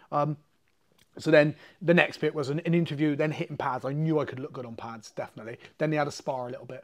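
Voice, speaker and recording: Over a quiet background, the speaker talks at a very fast pace with an English accent and fairly even intonation. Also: man. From England. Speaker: MMA fighter and jiu-jitsu coach; jiu-jitsu coach. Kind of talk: casual storytelling interview. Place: gym. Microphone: lapel.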